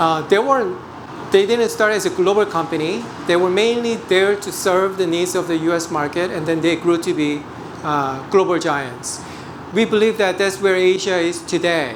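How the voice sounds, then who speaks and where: A high-pitched man with a Korean accent, at a moderate pace with ordinary pitch variation, amid audible room echo and noticeable background noise. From South Korea. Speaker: portfolio manager. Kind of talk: investment presentation. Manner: hesitant, frequent fillers.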